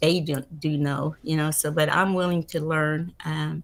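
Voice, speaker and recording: With an American accent, a woman speaks in a very deep, low voice, monotone and flat, at a fairly slow pace. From Oklahoma. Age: 70s. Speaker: political candidate. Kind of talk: interview. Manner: halting, many fillers.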